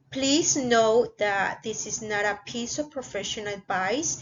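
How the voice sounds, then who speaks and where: A fairly high-pitched woman's voice in a Spanish accent, very slow in pace, with lively intonation. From Mexico. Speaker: YouTuber, international student. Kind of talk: vlog tutorial. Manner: hesitant with fillers.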